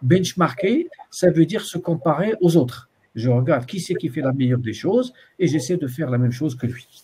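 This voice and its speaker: A man's dark, mellow voice, fairly high in pitch, with lively intonation and a fairly quick pace. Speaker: university supervisor. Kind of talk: student supervision session. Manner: fast; hesitant, many fillers.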